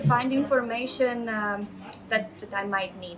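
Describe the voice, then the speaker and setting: Speaking at a fairly slow pace in a Latvian accent, a woman is heard over noticeable background noise with audible room echo. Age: 30s. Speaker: project manager. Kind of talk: interview testimony. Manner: hesitant, many fillers.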